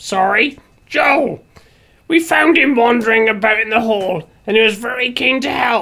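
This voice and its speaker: A woman's put-on character voice, fairly high and raspy, at a moderate pace. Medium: audio drama. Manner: clinical, matter-of-fact.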